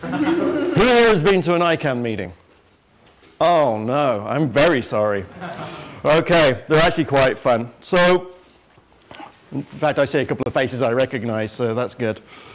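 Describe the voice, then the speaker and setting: A man with an English accent talks at a moderate pace in a fairly high pitch, with very wide pitch swings. His delivery has long, frequent pauses. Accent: English accent, self-described as funny. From England. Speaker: internet security executive. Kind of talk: lecture. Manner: casual, joking.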